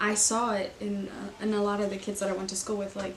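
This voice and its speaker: Noticeable background noise and audible room echo accompany a woman's medium-pitched voice. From Germany. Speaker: youth coordinator. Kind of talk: interview.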